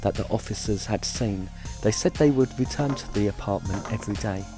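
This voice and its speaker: Over music in the background, a man talks at a moderate pace with a fairly low pitch and ordinary pitch variation. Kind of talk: documentary narration.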